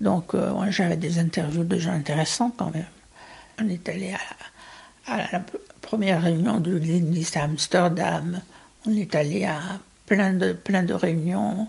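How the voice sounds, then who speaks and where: A woman's fairly low voice with vocal fry, very slow delivery and ordinary pitch variation. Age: 60s. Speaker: former community radio producer. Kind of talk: interview testimony.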